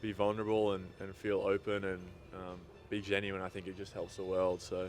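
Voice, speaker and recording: A man's fairly low voice with an American accent at a fairly quick pace. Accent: Australian, feels it fading in the US. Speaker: basketball player. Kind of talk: interview. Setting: at a sports event. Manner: hesitant, many fillers.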